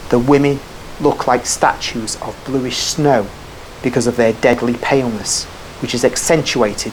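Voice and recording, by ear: Reading aloud in a natural voice, the speaker keeps the intonation fairly even.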